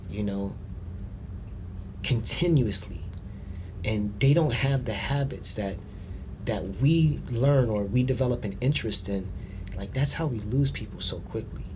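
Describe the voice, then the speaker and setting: Audible room echo surrounds a man with vocal fry who speaks at medium pitch and a fairly slow pace, with lively intonation and long, frequent pauses. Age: 40s. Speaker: financial advisor and massage therapist. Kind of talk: casual chat. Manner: animated.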